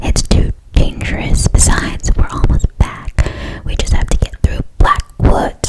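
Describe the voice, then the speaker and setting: Whispering at a fairly slow speed, the woman is heard through noticeable background noise. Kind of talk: whispered scary story reading. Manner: whispered, soft.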